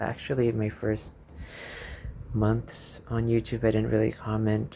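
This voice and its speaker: Against noticeable background noise, a man talks at a moderate pace in a fairly low pitch. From Philippines. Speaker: YouTuber. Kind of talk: casual vlog monologue, unscripted. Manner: rambling, hesitant with fillers.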